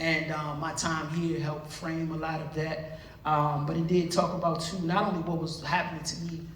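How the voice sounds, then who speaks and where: A man with an American accent talks at a moderate pace with hardly any pauses, fairly high in pitch and monotone, flat in intonation. Audible room echo and noticeable background noise surround him. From Washington DC. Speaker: podcast co-host, author and community activist. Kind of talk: casual talk to a school audience. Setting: school hall with live audience.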